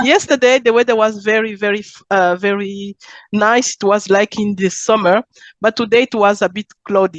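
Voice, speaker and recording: This speaker has a Zambian accent, fairly even intonation and a moderate pace, heard in a dry, close sound with no echo. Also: woman, medium pitch for a woman. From Congo, moved to Belgium at twelve. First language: Chiluba. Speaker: entrepreneur. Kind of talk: interview. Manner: halting.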